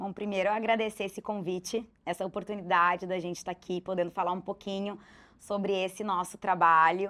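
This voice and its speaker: Over a silent background in a very clean recording, a woman at medium pitch talks fairly quickly in a bright, sharp tone with monotone, flat intonation. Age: 30s. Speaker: hospital clown volunteer. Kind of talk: TV interview.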